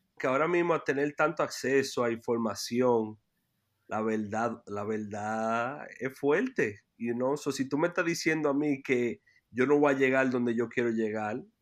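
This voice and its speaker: A man talks at a fairly slow pace with a medium pitch and ordinary pitch variation. The background is quiet. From New York City, Washington Heights. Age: 30s. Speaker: youth basketball program director. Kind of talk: interview. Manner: halting, many repetitions.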